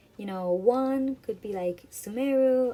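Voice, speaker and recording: Through noticeable background noise, a woman speaks with ordinary pitch variation. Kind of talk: gaming reaction voiceover. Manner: casual, chatty.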